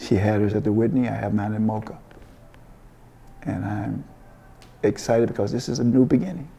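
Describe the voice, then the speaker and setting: Audible room echo surrounds a man with an American accent who speaks at a fairly quick pace in a fairly low pitch, with ordinary pitch variation and long, frequent pauses. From US South (Memphis, Tennessee). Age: 70s. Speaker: artist and art professor. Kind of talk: interview. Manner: halting, frequent repetitions and fillers.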